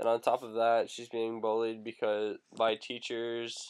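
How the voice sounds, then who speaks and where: A man with a Canadian accent is heard in a very clean recording with a silent background. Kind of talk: casual vlog commentary to camera.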